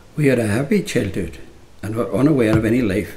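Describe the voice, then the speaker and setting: A man speaks at a fairly low pitch with lively intonation over noticeable background noise. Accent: Donegal. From Ireland, Donegal. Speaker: narrator. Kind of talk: scripted narration.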